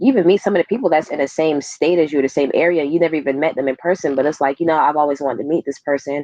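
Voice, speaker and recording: A woman talks at a very fast pace with hardly any pauses, in an animated tone. Her pitch is very deep and low, with ordinary pitch variation. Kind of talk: casual chat.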